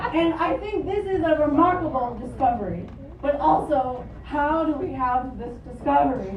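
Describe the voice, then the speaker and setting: With crowd noise behind her and audible room echo, a woman talks fairly slowly at a high pitch with lively intonation. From Japan (Tokyo), then Philadelphia as teen. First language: Japanese. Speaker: stand-up comedian. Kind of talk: stand-up. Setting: stage with audience.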